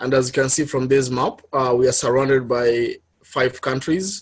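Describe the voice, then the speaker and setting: Medium-pitched male voice with fairly even intonation. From Kenya. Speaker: public health worker, guest speaker. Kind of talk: presentation talk. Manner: halting, many fillers.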